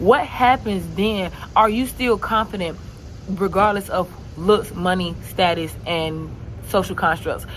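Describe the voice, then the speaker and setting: An animated woman's voice at medium pitch, with ordinary pitch variation and noticeable background noise. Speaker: vlogger. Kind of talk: casual vlog monologue. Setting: outdoors. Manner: fast.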